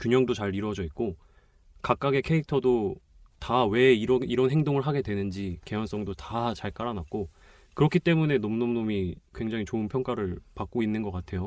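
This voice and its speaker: Against a quiet background, a man with an unremarkable speaking voice talks at a moderate pace, with medium pitch and ordinary pitch variation. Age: 20s. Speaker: film enthusiast guest, film reviewer. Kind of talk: casual chat. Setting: recording studio.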